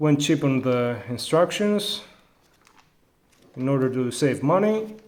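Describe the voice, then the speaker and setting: Lively intonation at a fairly slow pace, in a Greek accent. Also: man, fairly high pitch for a man. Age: adult. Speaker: toy reviewer. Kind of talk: product review. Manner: halting, many fillers.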